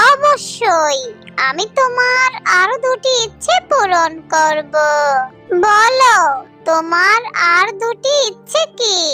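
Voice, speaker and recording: A cartoonish character voice speaks at an extremely high pitch and a very slow pace. Clear music plays in the background. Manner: gentle, benevolent.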